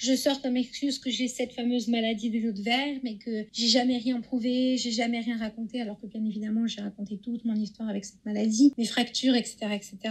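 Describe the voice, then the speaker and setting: The delivery is fairly quick, with hardly any pauses. Its intonation stays monotone and flat. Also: woman, fairly high pitch for a woman. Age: 20s. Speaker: guest sharing testimony. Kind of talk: testimony.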